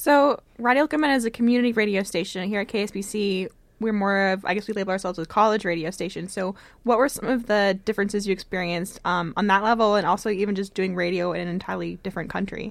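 In a very clean recording with a silent background, a woman speaks at a very fast pace. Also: medium pitch for a woman, ordinary pitch variation. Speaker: radio host. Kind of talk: radio show hosting. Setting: college radio studio.

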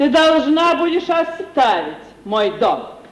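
With audible room echo, a woman slowly performs a put-on character voice at a high pitch with big pitch swings.

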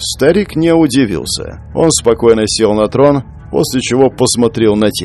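The words are read out loud. A natural voice carries them.

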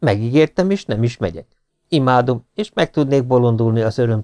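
Set against quiet surroundings, a natural reading voice moves through pitch in an ordinary way.

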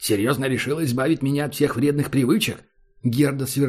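Plain reading aloud keeps a fairly even intonation.

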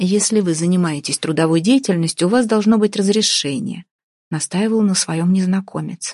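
An unforced reading voice with ordinary pitch variation. The background is quiet.

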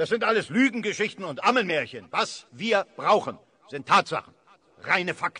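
A man does a put-on character voice at a high pitch and a moderate pace, with lively intonation, a bright, sharp tone and a slightly husky edge.

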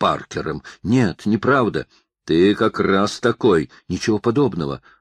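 A quiet background lies beneath plain reading aloud.

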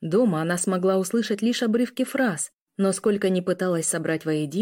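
The voice reads aloud naturally. Little else can be heard around it.

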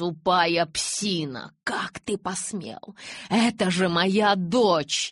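A woman puts on a character voice with a slightly husky edge, speaking at a very slow pace and a fairly low pitch with ordinary pitch variation. The sound is dry and close, without echo.

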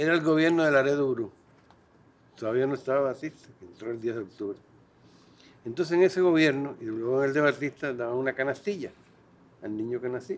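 Talking very fast but with long, frequent pauses, a man speaks at a medium pitch with ordinary pitch variation. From Cuba. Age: 80s+. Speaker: poet and intellectual. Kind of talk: meeting speech.

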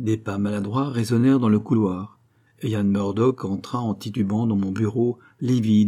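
An unforced reading voice keeps a fairly even intonation.

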